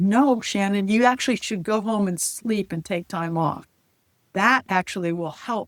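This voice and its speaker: In a very clean recording with a silent background and a dry, close sound with no echo, a woman uses a normal speaking voice at medium pitch, talking at a moderate pace with ordinary pitch variation. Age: 60s. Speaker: former attorney and firefighter. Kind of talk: interview.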